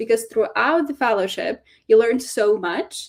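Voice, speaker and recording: This woman has a fairly high pitch and lively intonation. She speaks with a non-native accent. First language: not English. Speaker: fellowship program staff. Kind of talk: webinar info session. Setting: live online webinar. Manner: hesitant, many fillers and repeats.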